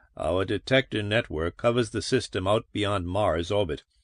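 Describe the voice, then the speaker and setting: A man's put-on character voice with a weary tone and fairly low pitch, against a quiet background. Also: moderate pace, dry, close sound with no echo. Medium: read story. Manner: weary, gloomy.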